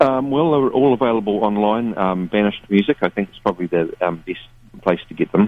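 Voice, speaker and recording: Loudness swings widely as a man with a New Zealand accent speaks at a fairly low pitch. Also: ordinary pitch variation, fairly quick pace. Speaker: touring musician. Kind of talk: radio interview chat. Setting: phone call. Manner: laid-back, hesitant, wry.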